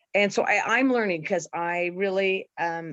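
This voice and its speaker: A woman with an ordinary speaking voice speaks at a fairly slow pace and fairly low pitch. Her pitch varies in an ordinary way, and the background is quiet. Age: 60s. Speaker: skincare and supplement seller. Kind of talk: casual role play testimony.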